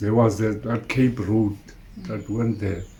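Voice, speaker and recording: A man's somewhat breathy voice sits at a medium pitch and carries a dark, mellow tone. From Eastern Cape, South Africa. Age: 80s+. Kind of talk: interview answer. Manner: hesitant, halting.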